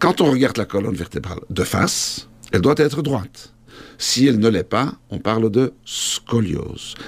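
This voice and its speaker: Over noticeable background noise, a man at a medium pitch speaks fairly slowly with lively intonation. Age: 50s. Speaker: orthopedic surgeon. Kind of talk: interview.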